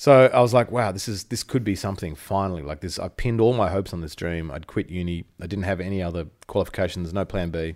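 A man's very deep, low voice with an Australian accent, very fast, with ordinary pitch variation, on a very clean recording with a silent background. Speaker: musician. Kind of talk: casual chat.

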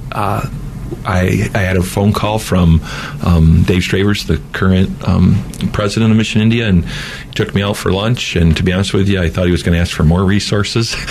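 Amid noticeable background noise and audible room echo, a man with a very deep, low voice speaks at a moderate pace with fairly even intonation. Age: 50s. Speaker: mission organization president and former pastor. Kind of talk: interview.

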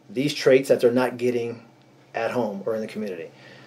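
A man's medium-pitched voice is heard with noticeable background noise behind it. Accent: western Pennsylvania. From Erie, Pennsylvania. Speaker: retired state trooper, nonprofit founder. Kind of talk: interview.

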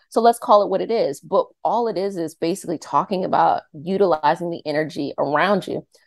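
With a Mid-Atlantic American accent, a woman speaks at a fairly quick pace in a fairly low pitch, showing ordinary pitch variation and hardly any pauses. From Northern Virginia (Arlington). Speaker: energy healer and YouTube creator. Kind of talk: interview.

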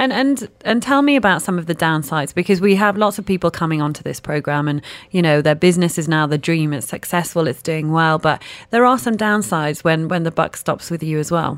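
On a very clean recording with a silent background, a woman talks fairly quickly at a fairly low pitch with lively intonation. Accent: British. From UK. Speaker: radio host. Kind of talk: radio interview. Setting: radio studio.

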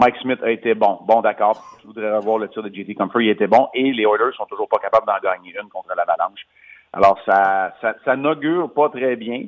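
This man talks at a medium pitch and an even, moderate speed, his pitch shifting the usual amount. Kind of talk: sports chat. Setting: phone call.

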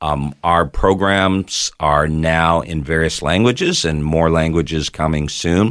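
Very clean, silent-background recording of a man with a very deep, low voice, fairly slow and even in intonation, with hardly any pauses. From Toronto, Canada. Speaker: pastor and TV network founder. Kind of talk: casual interview chat.

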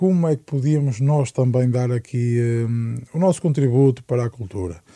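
At a moderate pace, a man talks in a dark, mellow tone that is somewhat breathy, with ordinary pitch variation. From Portugal, Amarante. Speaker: singer-songwriter. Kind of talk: interview. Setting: studio.

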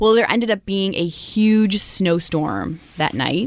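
Woman with an American accent, medium in pitch, at a moderate pace with ordinary pitch variation. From Michigan. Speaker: radio co-host. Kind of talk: casual chat.

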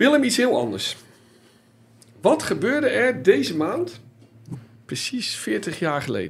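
Speaking very slowly, the man leaves long, frequent pauses. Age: 50s. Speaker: football journalist and podcast host. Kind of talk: casual chat.

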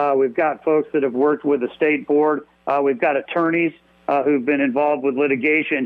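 At a moderate pace, a man with a plain, everyday voice and a fairly high pitch speaks with fairly even intonation and very even loudness. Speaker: state party chairman. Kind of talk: radio interview. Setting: phone call.

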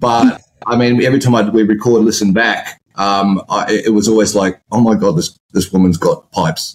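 A man talks in a plain, everyday voice at a moderate pace with hardly any pauses, his pitch fairly low, pitch variation ordinary and loudness very even. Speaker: guest, ex-partner of host. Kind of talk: casual chat.

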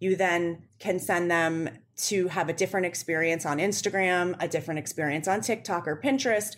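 Over a very clean recording with a silent background, a woman in a normal speaking voice with an American accent talks at a fairly quick pace and fairly low pitch, with ordinary pitch variation, very even loudness and hardly any pauses. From Western Pennsylvania, near Pittsburgh. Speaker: digital media executive, former beauty editor. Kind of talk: interview.

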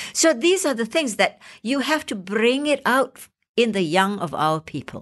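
A woman with a Malaysian accent speaks at a fairly high pitch and fairly slow pace. Her pitch swings very widely. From Malaysia, Penang. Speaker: actor and playwright. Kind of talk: interview.

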